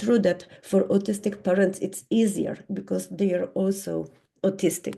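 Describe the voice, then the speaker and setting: A woman with a medium-pitched voice, a dark, mellow tone, and vocal fry speaks with ordinary pitch variation. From Poland. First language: Polish. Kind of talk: conference talk. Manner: halting.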